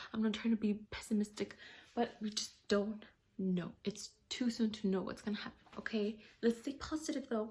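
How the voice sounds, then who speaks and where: Somewhat breathy and dark, mellow in tone, a woman with a fairly high pitch speaks at a moderate pace with fairly even intonation. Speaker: vlogger. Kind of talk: casual monologue.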